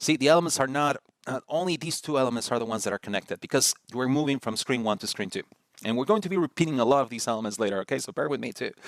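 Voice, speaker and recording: A man's medium-pitched voice with a Spanish accent, very fast and with lively intonation, in a dry, close sound with no echo. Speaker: design tutorial host. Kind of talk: tutorial. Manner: casual, with many fillers and repeats.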